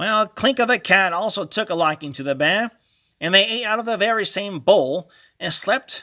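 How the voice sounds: A natural reading voice, lively in intonation, over a quiet background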